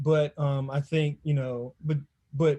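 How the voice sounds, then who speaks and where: A somewhat breathy man with a fairly high pitch and a fairly slow pace, on a very clean recording with a silent background. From Washington DC area. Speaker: game developer, panelist. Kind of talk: panel discussion. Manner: casual, hesitant with many fillers.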